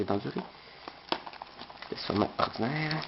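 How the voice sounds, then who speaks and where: Noticeable background noise behind a man's fairly quick speech and ordinary pitch variation. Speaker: unboxing video creator. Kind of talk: product unboxing video. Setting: bedroom. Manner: fast; hesitant, many filler sounds.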